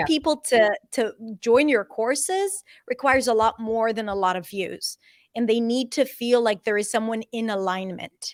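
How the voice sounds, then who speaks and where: In an ordinary speaking voice, a woman with fairly high pitch and lively intonation speaks at a moderate pace, the sound dry and close with no echo. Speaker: accent and pronunciation coach. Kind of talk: interview answer.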